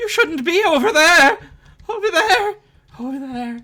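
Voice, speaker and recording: A shaky, put-on character voice at a moderate pace, with very wide pitch swings. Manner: shivering, trembling, repetitive.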